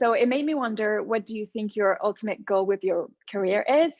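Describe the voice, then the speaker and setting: Speaking in a French accent at a moderate pace, a woman uses lively intonation at a fairly high pitch. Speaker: podcast host. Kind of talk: interview conversation.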